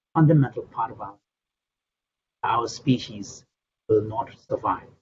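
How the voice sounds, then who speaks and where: A man talks with a Tibetan accent at a medium pitch. His voice is somewhat breathy, and his pace is moderate. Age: 60s. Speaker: Buddhist scholar and translator. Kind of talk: interview answering audience questions. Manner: halting, repeats words.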